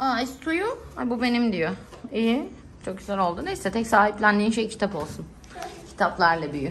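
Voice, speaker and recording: Over light background noise, a woman speaks at a moderate pace with very wide pitch swings. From Turkey. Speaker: travel vlogger. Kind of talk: casual vlog. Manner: animated. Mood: warm, affectionate. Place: home room. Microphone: phone near.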